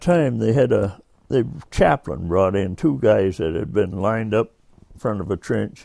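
A man of medium pitch with an American accent, a dark, mellow tone, and very wide pitch swings. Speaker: war veteran. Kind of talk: elder life story, oral-history recollection told in casual spoken style. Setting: interview at his home.

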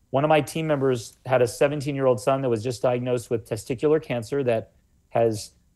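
Fairly quick and fairly even in intonation, a man speaks at medium pitch. His tone is dark and mellow. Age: 40s. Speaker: health author. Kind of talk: interview.

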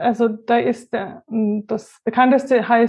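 A woman with a high pitch talks at a very slow pace in a monotone, flat intonation. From Franconia, Germany (near Würzburg). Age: 30s. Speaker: statistics consultant. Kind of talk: interview.

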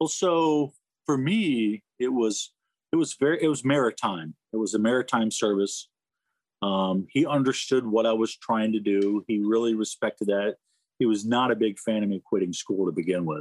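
A man with a normal speaking voice at a medium pitch, lively intonation and a moderate pace, very even loudness, a dry, close sound with no echo, and a very clean recording with a silent background. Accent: American. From Florida, US South. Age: 50s. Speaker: retired navy rescue swimmer and officer. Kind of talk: interview. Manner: casual, conversational.

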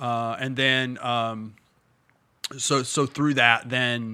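Flat and monotone in intonation, a man with an American accent speaks at a medium pitch in a bright, sharp tone. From Indiana. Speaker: pastor. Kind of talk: casual chat.

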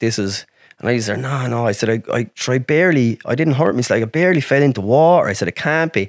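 A man with a rural Irish accent and a medium pitch talks very fast with lively intonation. The recording is very clean and dry, close with no echo, over a silent background. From Ireland, rural. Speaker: accident survivor, wheelchair user. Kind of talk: casual chat.

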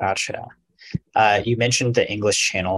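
The man's intonation is fairly even. His voice has a somewhat breathy quality. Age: 30s. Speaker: podcast host. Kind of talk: casual chat.

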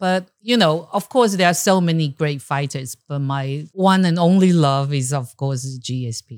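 A woman with a very deep, low pitch speaks at a fairly slow pace with lively intonation and hardly any pauses. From Taiwan, Taipei. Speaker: entrepreneur and martial artist. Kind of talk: casual chat. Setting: studio.

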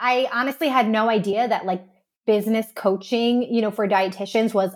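A woman uses a normal speaking voice, fairly high in pitch, with ordinary pitch variation. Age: 30s. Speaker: dietitian and business owner. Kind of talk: casual chat.

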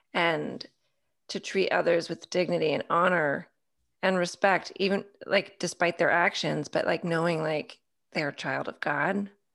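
Using vocal fry, a woman talks at a fairly slow pace with fairly even intonation. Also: fairly low pitch for a woman. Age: 40s. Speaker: women's ministry mentor. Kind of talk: casual chat. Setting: video call.

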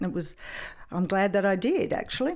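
A woman is speaking. She talks with an Australian accent. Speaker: retired police sergeant. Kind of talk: interview.

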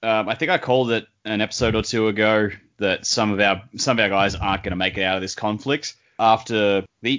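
Talking at a fairly quick pace, a man has an unremarkable speaking voice with fairly low pitch and fairly even intonation. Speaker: podcast co-host. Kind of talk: casual chat.

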